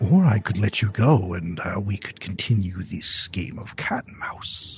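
Faint music sits in the background as a put-on character voice moves at a moderate pace. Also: man, fairly low pitch for a man. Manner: menacing, grandiose, toying.

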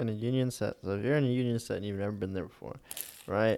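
Here a man has an unremarkable speaking voice, fairly low in pitch with ordinary pitch variation. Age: young. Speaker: film lighting crew worker. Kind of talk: casual chat.

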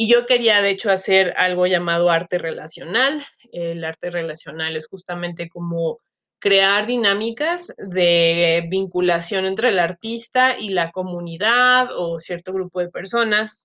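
A woman's medium-pitched voice with a bright, sharp tone, a fairly slow pace and ordinary pitch variation. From Mexico, Chiapas. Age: 30s. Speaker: podcaster, social media marketer. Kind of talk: casual solo monologue, self-introduction. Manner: many filler words (este, eh), hesitant.

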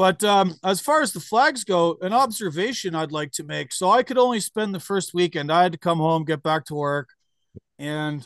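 Recorded dry and close with no echo, a man with a Canadian accent has an unremarkable speaking voice, lively intonation and a moderate pace. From Canada. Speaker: podcast host and trucker. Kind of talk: casual interview.

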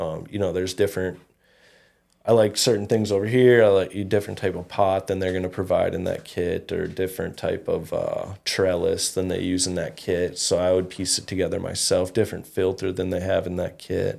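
With an Upper Midwest accent, a man speaks at a fairly quick pace. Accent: Upper Midwest (Minnesota). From Minnesota, Fergus Falls. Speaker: cannabis grow shop owner. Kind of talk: casual interview.

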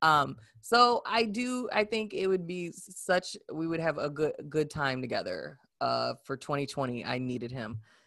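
A woman speaks fairly slowly at a fairly low pitch, her bright, sharp tone making very wide pitch swings against a quiet background. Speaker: podcast co-host. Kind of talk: casual chat.

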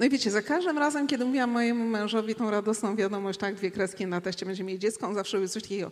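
This woman sounds animated, with ordinary pitch variation. There is noticeable background noise. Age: 50s. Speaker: traveller and speaker. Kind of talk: panel discussion on stage. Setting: stage with audience.

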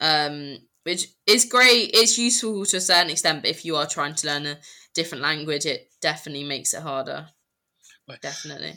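On a very clean recording with a silent background, a woman with a British accent and a very deep, low pitch speaks at a fairly quick pace in a bright, sharp tone, her intonation lively and her loudness swinging widely. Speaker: podcast co-host. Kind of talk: casual chat.

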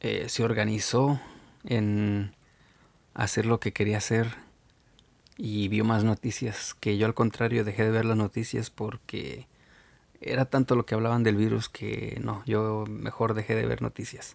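Over a silent background in a very clean recording, a man speaks in a fairly low, monotone, flat voice with long, frequent pauses. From Mexico. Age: 30s. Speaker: podcast host. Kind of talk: solo podcast monologue. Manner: halting, with fillers and repetitions.

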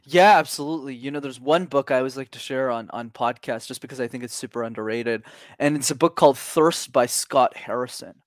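Someone with a Canadian accent speaks at a very fast pace with hardly any pauses, ordinary pitch variation and big swings in loudness, in a very clean, silent-background recording that sounds dry and close with no echo. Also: man, medium pitch for a man. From Canada. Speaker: public speaking coach. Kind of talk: casual interview.

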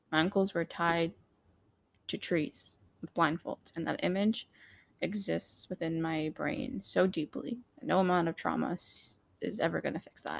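A woman with an American accent and a fairly low pitch speaks at a moderate pace with vocal fry, ordinary pitch variation and long, frequent pauses, in a dry, close sound with no echo. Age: 20s. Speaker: podcaster sharing personal story. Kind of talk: personal testimony monologue. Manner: hesitant, many fillers.

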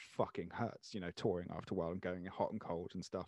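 Here a man speaks with a British accent. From Channel Islands (Jersey). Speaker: podcast host. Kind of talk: casual chat.

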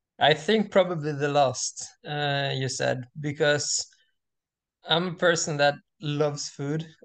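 Very slow speech in a Norwegian accent, with fairly even intonation, long, frequent pauses and a quiet background. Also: man, fairly high pitch for a man. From Norway. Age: 20s. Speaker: student and semi-pro distance runner. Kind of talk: casual interview chat. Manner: halting, many fillers.

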